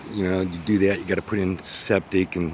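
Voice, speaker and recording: A man talks with an American accent. Noticeable background noise runs under his voice. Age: 60s. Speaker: small business owner. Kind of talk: casual unscripted vlog narration. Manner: halting, many fillers.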